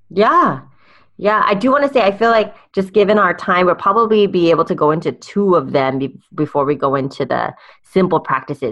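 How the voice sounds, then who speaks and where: A normal speaking voice from a woman, moderate in pace and with ordinary pitch variation. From California. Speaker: life coach and speaker.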